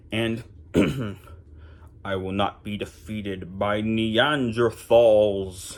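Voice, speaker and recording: Using a put-on character voice, a man speaks very slowly at a fairly low pitch with fairly even intonation and long, frequent pauses. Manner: theatrical, grandiloquent.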